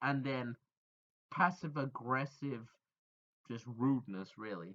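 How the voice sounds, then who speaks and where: At a very slow pace, a man talks with a medium pitch and ordinary pitch variation. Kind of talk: casual storytime talk to camera. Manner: rambling, stuttering.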